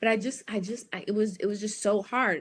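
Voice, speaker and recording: A woman with an American accent speaks at a fairly quick pace in an ordinary speaking voice, her fairly high pitch held to fairly even intonation. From US. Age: 40s. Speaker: life and business coach. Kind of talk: live stream talk.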